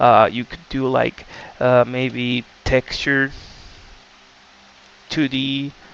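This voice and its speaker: Speaking with a non-native accent, a man talks at a very slow pace in a monotone, flat intonation, with long, frequent pauses, big swings in loudness and noticeable background noise. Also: medium pitch for a man. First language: not English. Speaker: game development tutorial creator. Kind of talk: tutorial. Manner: casual, many filler words.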